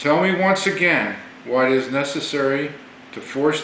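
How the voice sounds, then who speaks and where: A fairly high male voice with audible room echo and noticeable background noise. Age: 60s. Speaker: navy veteran. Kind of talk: political monologue. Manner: formal.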